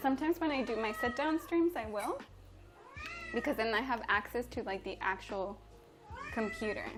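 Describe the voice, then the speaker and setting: A woman's high, lively voice in a Spanish accent, with music in the background. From Mexico. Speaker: chef and livestreamer. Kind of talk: live-stream cooking chat. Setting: home kitchen live stream. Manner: casual and chatty.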